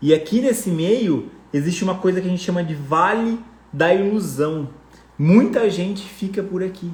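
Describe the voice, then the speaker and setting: Animated in tone, a man speaks at a high pitch with ordinary pitch variation. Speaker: personal finance coach. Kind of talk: live online class.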